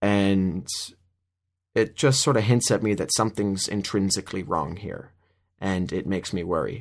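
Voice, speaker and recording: A man with an American accent and a plain, everyday voice speaks at a fairly low pitch with ordinary pitch variation on a very clean recording with a silent background. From Minnesota. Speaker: podcaster. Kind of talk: solo commentary. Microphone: new microphone.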